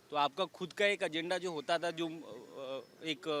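Ordinary variation marks this man's pitch. His voice sits high. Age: young. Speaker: park visitor. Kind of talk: street interview. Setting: outdoors.

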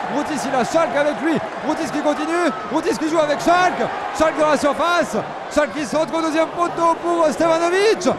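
Noticeable background noise sits behind the speaker, a man. His pitch is extremely high, with ordinary variation. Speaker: football match commentator. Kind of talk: live sports commentary. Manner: rapid-fire, breathless play-by-play, names shouted in quick succession.

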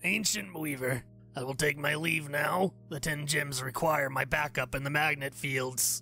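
Clear music plays in the background as a man with a fairly high pitch speaks in fairly even intonation. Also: moderate pace. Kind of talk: archaic noble speech. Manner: formal, courtly, warm.

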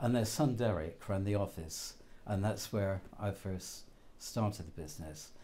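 In a southern English accent, a man with a dark, mellow tone speaks at a fairly slow pace with lively intonation. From southern England. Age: 80s+. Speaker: betting shop worker. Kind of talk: interview. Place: shop. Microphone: lapel.

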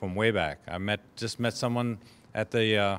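A man speaks at a fairly quick pace with fairly low pitch. His tone is fairly bright, with ordinary pitch variation.

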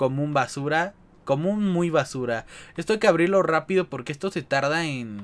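Recorded very cleanly against a silent background, a man speaks at a fairly high pitch. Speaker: gaming youtuber. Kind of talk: gameplay commentary. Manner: animated.

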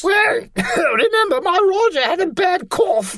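The voice sits at an extremely high pitch and swings very widely. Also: moderate pace. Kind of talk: comic sketch acting. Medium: read story. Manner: chatty, silly, cheerfully flippant.

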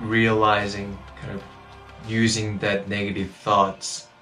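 A man speaks very slowly in a fairly low voice with fairly even intonation, while clear music plays in the background. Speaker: runner vlogger. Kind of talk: casual vlog chat. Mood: calm, grateful, reflective. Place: home room. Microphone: phone near.

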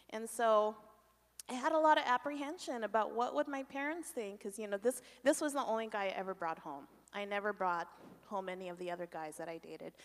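A fairly high-pitched woman talks very fast, her pitch swinging very widely and her loudness shifting a lot. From Canada, Korean family. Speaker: ministry leader; conference speaker. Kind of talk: testimony. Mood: reflective, candid. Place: church. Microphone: handheld.

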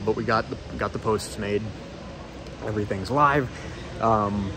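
Over music in the background, a man talks at a fairly quick pace in a fairly low pitch. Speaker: hobbyist vlogger. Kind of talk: casual vlog chat. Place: hall. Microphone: phone near.

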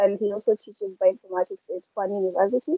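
Dry with no echo, this dark, mellow voice holds a fairly even intonation over a quiet background. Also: woman. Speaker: session moderator. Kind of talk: online session moderation. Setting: video call. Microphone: video call.

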